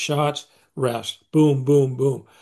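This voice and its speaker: Somewhat breathy male speech in a monotone, flat intonation, with a quiet background. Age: 70s. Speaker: strength and conditioning coach. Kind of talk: podcast interview. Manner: halting, many repeated words.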